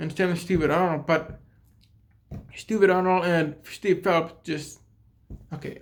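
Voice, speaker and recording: In a put-on character voice at a middle pitch, the speaker mumbles at a fairly slow pace, with long, frequent pauses. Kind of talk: casual, ranting. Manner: mumbling.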